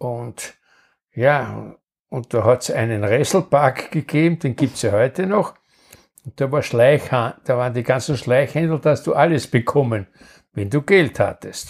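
A man talks at a fairly slow pace in a Viennese accent. His voice is somewhat breathy. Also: medium pitch for a man, ordinary pitch variation, very clean recording, silent background. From Vienna, Austria. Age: 80s+. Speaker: grandfather recounting wartime childhood. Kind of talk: storytelling interview.

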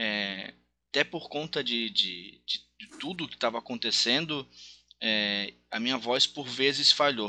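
A man's medium-pitched voice, bright and sharp in tone, at a very slow pace with ordinary pitch variation. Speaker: race commentator and former kart driver. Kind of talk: casual interview chat. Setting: recorded podcast.

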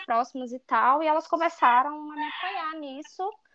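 A woman talks with lively intonation. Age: 20s. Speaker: author. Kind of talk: interview. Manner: animated.

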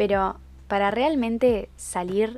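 A woman speaks with a Uruguayan accent. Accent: Uruguayan Rioplatense Spanish. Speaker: podcaster. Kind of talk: casual monologue. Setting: recording in bed at home.

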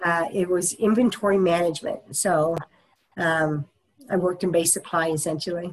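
A woman with an American accent speaks at a fairly low pitch in a plain, everyday voice. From US Midwest, Topeka, Kansas. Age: 50s. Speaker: minister. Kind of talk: oral history interview.

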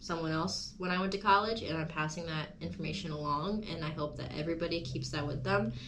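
A woman with a fairly low pitch talks at a fairly quick pace, with hardly any pauses and ordinary pitch variation. Noticeable background noise and audible room echo are present. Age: 20s. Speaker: podcast host. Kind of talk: casual chat. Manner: animated.

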